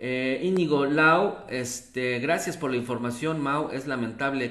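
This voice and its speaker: A man speaks at a very slow pace in a medium pitch, with ordinary pitch variation and audible room echo. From Mexico City. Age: 50s. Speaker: local news presenter; local news host. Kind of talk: live news commentary and reading viewer comments. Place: home room.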